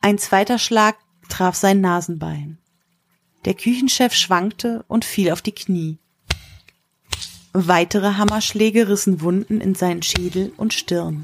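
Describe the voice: A medium-pitched woman at a slow pace. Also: ordinary pitch variation.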